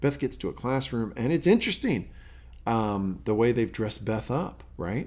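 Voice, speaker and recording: Here a man speaks with an American accent in an unremarkable speaking voice. His pitch is medium, his intonation lively and his pace moderate. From US South. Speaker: podcast host. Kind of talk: casual chat.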